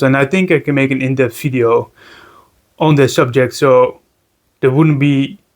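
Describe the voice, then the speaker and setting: A man with a Dutch accent at a moderate pace with fairly even intonation. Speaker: reptile keeper, video creator. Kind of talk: casual tutorial vlog. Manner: halting, many repetitions and fillers.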